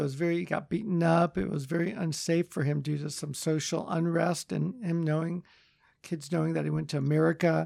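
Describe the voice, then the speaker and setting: A man speaks with a Californian accent at a moderate pace. His pitch is high, with ordinary variation. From Los Angeles, San Fernando Valley. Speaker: surgeon. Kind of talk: interview. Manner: hesitant, many fillers.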